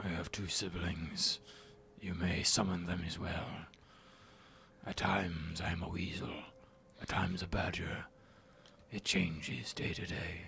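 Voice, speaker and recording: A raspy, very deep, low-pitched put-on character voice from a man, moderate pace, long and frequent pauses, and clear background noise. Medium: actual play. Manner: formal, calm, earnest.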